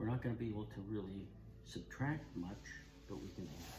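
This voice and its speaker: Audible room echo and noticeable background noise surround this man's voice. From Canada. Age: 70s. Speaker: woodturning channel host, grandfather. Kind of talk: casual cooking chat.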